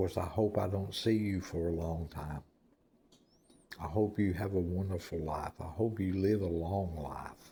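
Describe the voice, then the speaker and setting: Dark and mellow, the tone carries through. The intonation is fairly even. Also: man, very deep, low pitch for a man. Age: 60s. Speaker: former prisoner telling his life story. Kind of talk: personal monologue. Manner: slow; repetitive.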